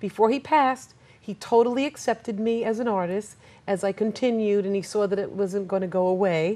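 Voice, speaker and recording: With an American accent and a dark, mellow tone, a woman speaks at medium pitch and a fairly quick pace with ordinary pitch variation. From US, New York (Queens). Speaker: artist and teacher. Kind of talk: interview. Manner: halting.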